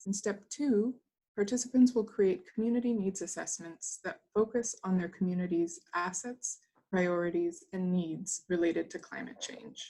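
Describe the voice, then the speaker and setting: Somewhat breathy and dark, mellow in tone, a woman's voice sits at a medium pitch with ordinary pitch variation. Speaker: webinar presenter. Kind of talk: scripted presentation. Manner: slow; reading from a script.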